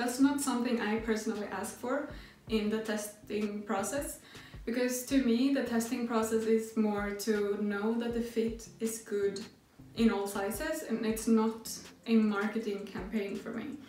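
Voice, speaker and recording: A woman with a non-native accent talks amid light background noise and audible room echo. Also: fairly high pitch for a woman, fairly even intonation, fairly slow pace. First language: not English. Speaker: sewing pattern designer. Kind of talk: tutorial. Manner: hesitant, with filler sounds. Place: home room.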